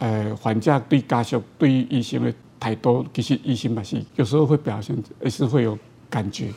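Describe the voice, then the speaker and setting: This man has a dark, mellow tone with vocal fry. He speaks at medium pitch and a moderate pace with ordinary pitch variation. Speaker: orthopedic surgeon. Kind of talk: interview. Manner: halting, many fillers.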